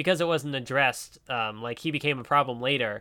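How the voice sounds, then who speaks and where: On a very clean recording with a silent background, a man speaks at a fairly high pitch in a bright, sharp tone with ordinary pitch variation. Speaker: podcast co-host. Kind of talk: casual chat.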